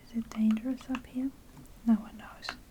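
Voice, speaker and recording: Soft-spoken whispering in a relaxed tone against noticeable background noise. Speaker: ASMR gaming content creator. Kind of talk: soft-spoken gameplay commentary. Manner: soft-spoken, whispery, relaxed.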